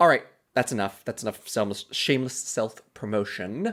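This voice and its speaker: A man mumbles at a fairly quick pace. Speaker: podcast host. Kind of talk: casual solo podcast commentary. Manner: mumbling.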